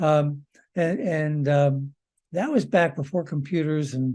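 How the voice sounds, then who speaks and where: Against a quiet background, a man with a dark, mellow tone and fairly high pitch speaks at a fairly slow pace. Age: 70s. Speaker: nuclear engineer and expert witness. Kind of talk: presentation. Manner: halting, many fillers.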